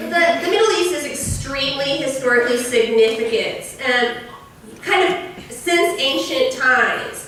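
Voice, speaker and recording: A woman's raised, projected voice with a high pitch moves at a fairly slow pace amid audible room echo and noticeable background noise. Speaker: history professor. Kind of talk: lecture. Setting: lecture hall with audience, on a mic. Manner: loud; casual, with fillers.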